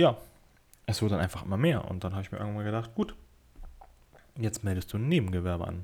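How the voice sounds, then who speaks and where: Here a man talks with a fairly low pitch and a dark, mellow tone. He leaves long, frequent pauses. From northern Germany, Kiel. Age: 20s. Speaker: podcaster and part-time photographer. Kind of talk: casual solo podcast monologue.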